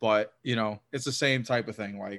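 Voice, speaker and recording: This is a man with a normal speaking voice and an American accent. His pitch is medium, and the background is quiet. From US South. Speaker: hockey podcaster. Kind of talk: casual chat.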